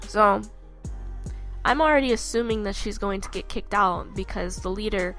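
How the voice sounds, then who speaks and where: A woman speaks with a fairly high pitch. Music plays in the background. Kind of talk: casual rant to camera. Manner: upset, emphatic.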